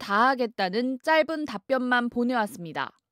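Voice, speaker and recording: The voice moves at a moderate pace on a very clean recording with a silent background. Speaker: news reporter. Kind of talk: scripted narration.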